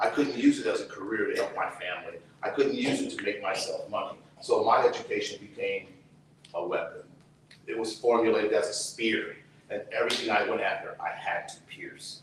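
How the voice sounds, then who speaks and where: A man talks fairly quickly. The room echoes audibly, and there is noticeable noise in the background. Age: 60s. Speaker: activist, brother of a prisoner. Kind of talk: testimony. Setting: outdoors.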